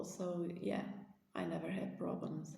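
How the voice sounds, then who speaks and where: A woman speaks with a non-native accent, and some room echo can be heard. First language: not English. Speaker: spiritual vlogger. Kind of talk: casual monologue to camera. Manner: halting, many fillers.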